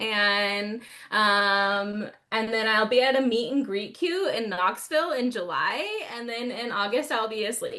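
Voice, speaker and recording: With a Texas accent, a woman talks at a fairly slow pace in an animated, bright, sharp tone, her fairly high pitch showing ordinary variation, with audible room echo. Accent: Texas twang. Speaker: author and book fair organizer. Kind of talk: casual podcast chat.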